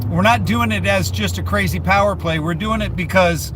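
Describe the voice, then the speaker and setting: Noticeable background noise runs behind a man speaking with an American accent. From United States. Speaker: livestreamer. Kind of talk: casual live-stream chat.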